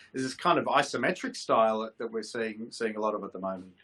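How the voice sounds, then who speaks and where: Bright, sharp tone from a man with an Australian accent at a fairly quick pace. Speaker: content agency head and show host. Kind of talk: casual panel discussion. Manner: hesitant, many fillers and repetitions.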